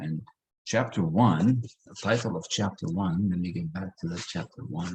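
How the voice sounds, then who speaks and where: A man with a non-native accent and a very deep, low pitch at a moderate pace. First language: not English. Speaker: personal development coach. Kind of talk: online group session. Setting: video call.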